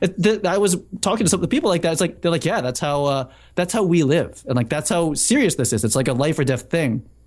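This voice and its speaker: Against a quiet background, a man with an American accent talks very fast in a high pitch, his voice swinging very widely up and down. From Massachusetts, Boston area. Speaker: cinematographer and software founder. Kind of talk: casual chat.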